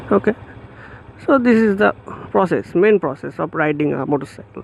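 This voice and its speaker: A man's high-pitched voice with a Bengali accent, very wide pitch swings and a moderate pace, in a dry, close recording with no echo. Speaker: motorcycle vlogger. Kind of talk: tutorial. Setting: outdoors.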